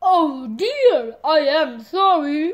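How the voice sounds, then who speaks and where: A woman puts on a character voice that is high-pitched and swings very widely in pitch. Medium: read story.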